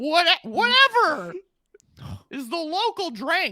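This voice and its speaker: In a put-on character voice, a woman speaks very slowly at an extremely high pitch, raised and projected, with very wide pitch swings. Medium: actual play. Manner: boisterous, brash.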